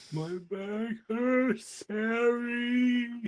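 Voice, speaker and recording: The voice is a put-on character voice. Its pitch sits fairly high. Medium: actual play.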